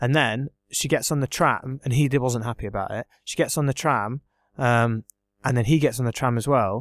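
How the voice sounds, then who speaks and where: In an English accent, a man speaks at a medium pitch and a moderate pace, with ordinary pitch variation and a dry, close sound with no echo. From England. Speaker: exchange student. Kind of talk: casual chat.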